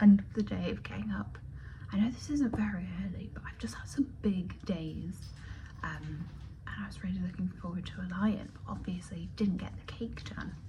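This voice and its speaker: Whispering at a moderate pace, a woman swings widely in loudness while room echo is audible. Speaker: lifestyle vlogger and florist. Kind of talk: casual vlog chat. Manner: chatty.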